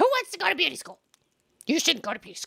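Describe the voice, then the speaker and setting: This is a put-on character voice that sounds female. It moves at a very fast pace. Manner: disappointed, scolding.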